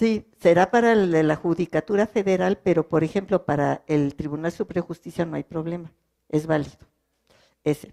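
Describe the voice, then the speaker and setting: A woman talks in a fairly low voice with a dark, mellow tone. The sound is dry and close, with no echo. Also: ordinary pitch variation, moderate pace. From French-speaking country. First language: French (speaking Spanish). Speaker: legal translator. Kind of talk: panel talk. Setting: cultural centre with audience.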